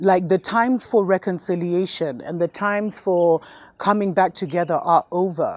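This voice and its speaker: In a plain, everyday voice, a woman speaks at a medium pitch and a moderate pace with an American accent. The recording is very clean with a silent background, dry and close with no echo. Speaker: spiritual show host. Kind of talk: spiritual talk to viewers.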